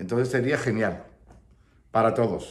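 The man's speech moves at a moderate pace. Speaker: flamenco teacher. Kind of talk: casual vlog chat. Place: home room. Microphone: phone near.

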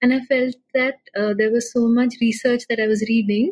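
Somewhat breathy and fairly even in intonation, a woman speaks in a dry, close sound with no echo. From India, Pune. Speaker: data journalist. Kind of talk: interview conversation.

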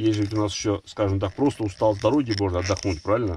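A very fast pace with fairly even intonation, in a dry sound with no echo and light background noise. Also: man. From Russia, Nizhny Novgorod; Russia. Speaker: travel vlogger. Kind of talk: casual chat, reading viewer comments. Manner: casual, halting. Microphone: phone near.

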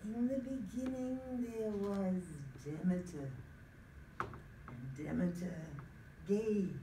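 Noticeable background noise sits under a woman speaking at a very slow pace. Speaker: storyteller. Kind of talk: dramatic storytelling performance. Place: meeting room. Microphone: phone near.

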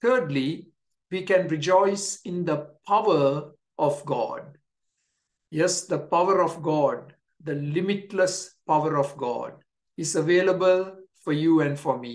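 Over a quiet background, a man with a high pitch speaks at a very slow pace, using ordinary pitch variation and long, frequent pauses. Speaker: pastor. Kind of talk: sermon. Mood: warm, encouraging. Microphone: webcam.

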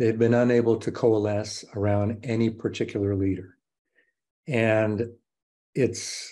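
Over a quiet background, a man with an American accent speaks at a fairly slow pace in a dark, mellow tone, his intonation monotone and flat, with long, frequent pauses. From Mexico (Guadalajara), American family. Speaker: professor. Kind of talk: interview. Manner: frequent repetitions and fillers. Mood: calm, measured. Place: home room. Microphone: webcam.

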